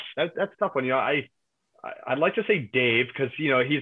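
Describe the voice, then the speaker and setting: A man with a fairly high pitch talks at a fairly quick pace in a normal speaking voice. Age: 30s. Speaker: yacht crew member and reality TV cast member. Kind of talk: casual chat.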